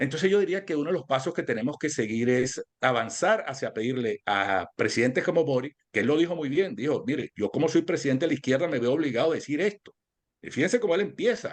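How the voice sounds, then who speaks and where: Speaking at a very fast pace, a man with a fairly high pitch uses very wide pitch swings. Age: 60s. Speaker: political analyst. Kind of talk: interview. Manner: halting.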